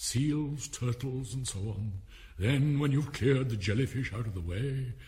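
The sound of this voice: The speaker uses an unforced reading voice. Pitch varies in an ordinary way.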